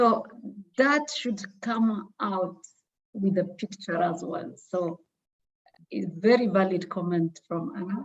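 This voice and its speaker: Somewhat breathy, a woman speaks at a very slow pace with long, frequent pauses. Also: medium pitch for a woman, ordinary pitch variation. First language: not English. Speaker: trainee presenter. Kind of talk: feedback discussion.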